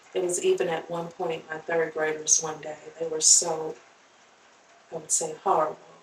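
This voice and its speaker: A woman with an American accent, fairly low-pitched and monotone, at a moderate pace, with big swings in loudness, long and frequent pauses, and noticeable background noise. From rural North Carolina. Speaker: teacher and social worker. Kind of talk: interview. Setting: podcast.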